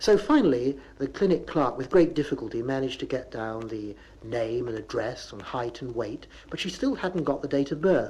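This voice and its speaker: With a Bristol accent, a man talks at a fairly quick pace in a dark, mellow tone. His pitch swings very widely. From Bristol, England. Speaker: dialect humorist. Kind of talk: comic monologue on local dialect.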